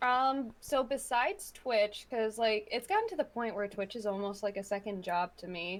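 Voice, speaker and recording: A woman talks at a moderate pace in a normal speaking voice, fairly high in pitch. Her pitch variation is ordinary, and she has hardly any pauses. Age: 20s. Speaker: streamer and waitress, podcast guest. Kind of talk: casual chat.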